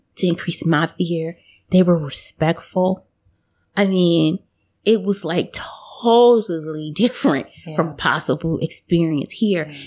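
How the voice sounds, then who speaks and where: A woman with an American accent speaks at a fairly slow pace in a fairly low pitch. It's an unremarkable speaking voice, with ordinary pitch variation. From United States. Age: 40s. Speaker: podcast guest, former exchange student. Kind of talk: casual interview chat.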